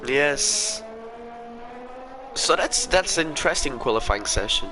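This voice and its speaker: Against noticeable background noise, a man talks at a high pitch with very wide pitch swings. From Portugal. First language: Portuguese. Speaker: sim racing league commentator. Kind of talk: live commentary. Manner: halting.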